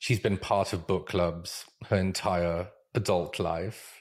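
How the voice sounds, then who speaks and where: Speaking at a fairly slow pace, a man talks with a strong British accent. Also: very clean recording, silent background. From Israel. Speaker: UX research manager and educator. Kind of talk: casual interview conversation.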